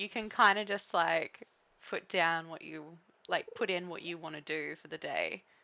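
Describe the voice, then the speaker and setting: A woman with an Australian accent. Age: 30s. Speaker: game streamer. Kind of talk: casual chat. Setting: live stream.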